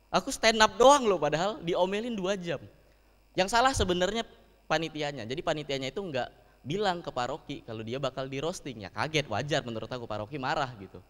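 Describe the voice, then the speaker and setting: A man's fairly high voice at a very fast pace, animated in tone, with very wide pitch swings and big jumps in loudness. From Palembang, South Sumatra, Indonesia. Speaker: stand-up comedian. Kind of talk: stand-up comedy set with audience. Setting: live event with audience. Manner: animated, conversational, punchline-driven, with rhetorical tag questions like 'kan?'. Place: hall. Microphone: handheld.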